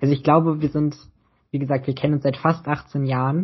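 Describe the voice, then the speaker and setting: This speaker talks at a fairly quick clip in a somewhat breathy voice with flat, monotone intonation. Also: man. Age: 20s. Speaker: podcast co-host. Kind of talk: casual chat.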